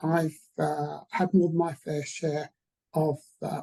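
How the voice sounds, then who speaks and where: A woman talks in a very deep, low register with vocal fry and flat, monotone intonation. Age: 60s. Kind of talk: panel webinar discussion. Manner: halting.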